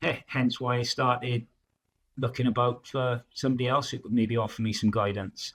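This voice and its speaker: A man talks in a South Wales accent. His intonation stays monotone and flat. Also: medium pitch for a man, moderate pace. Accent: Welsh (South Wales). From South Wales, Newport. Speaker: project manager, coaching client. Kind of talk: interview testimony. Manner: halting, many fillers; loud and outgoing.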